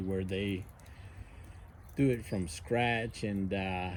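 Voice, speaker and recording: A man's fairly low voice carries audible room echo. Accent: American. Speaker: outdoor gear vlogger, navy veteran. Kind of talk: casual demonstration vlog. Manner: halting, many fillers.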